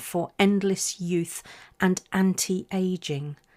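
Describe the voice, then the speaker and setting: A woman speaks with a British accent and fairly even intonation, the very clean recording dry and close with no echo against a silent background. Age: 60s. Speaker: podcast host. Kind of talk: personal reflective monologue.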